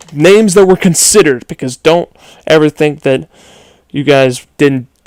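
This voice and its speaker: Lively intonation marks this man's fairly high voice, heard at a moderate pace with a dry, close sound and no echo. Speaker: gaming youtuber. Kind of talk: video game commentary countdown.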